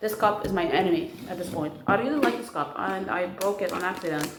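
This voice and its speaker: At a fairly quick pace, a woman talks at a medium pitch. Room echo is audible, and so is noticeable background noise. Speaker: vlogger. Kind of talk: casual vlog. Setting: at home. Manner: animated.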